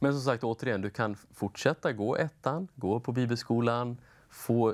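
With normal pitch movement, a man delivers his words at a medium speed. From Östergötland, Sweden (Linköping); Östergötland, Sweden. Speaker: bible school principal; talk show guest. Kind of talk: interview. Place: studio. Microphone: lapel.

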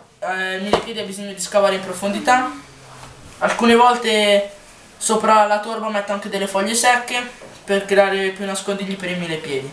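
Moderate pace, fairly even intonation and big swings in loudness, with audible room echo and light background noise. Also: woman, medium pitch for a woman. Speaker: pet keeping youtuber. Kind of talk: tutorial. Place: home room. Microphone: low quality camera; phone near.

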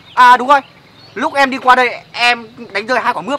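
A woman speaks in a high pitch, with a dry sound that has no echo. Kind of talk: staged comedic dialogue. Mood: puzzled, feigning innocence. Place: street.

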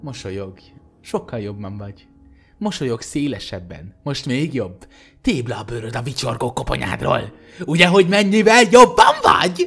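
Music plays in the background as a man talks at a fairly slow pace. His pitch swings very widely, and his loudness shifts a lot. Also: medium pitch for a man. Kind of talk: creepypasta reading aloud, ghost story telling.

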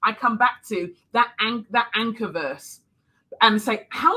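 This woman has a bright, sharp tone and speaks with a London accent. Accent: British (London). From London, England. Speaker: speaker, author; speaker. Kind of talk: sermon. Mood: earnest, faith-filled encouragement. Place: home room.

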